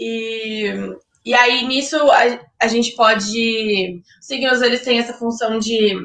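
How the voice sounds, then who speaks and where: In a bright, sharp tone, a woman speaks very slowly at a fairly high pitch with ordinary pitch variation. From Brazil, Ribeirão Preto (São Paulo state). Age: 20s. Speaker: fashion and astrology student. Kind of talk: casual interview chat.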